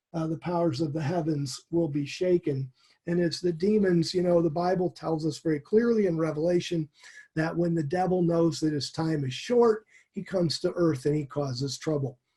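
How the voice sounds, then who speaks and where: Moderately paced speech in a dark, mellow tone, its pitch varying in an ordinary way. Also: man, high pitch for a man. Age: 60s. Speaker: Bible teacher. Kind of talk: sermon.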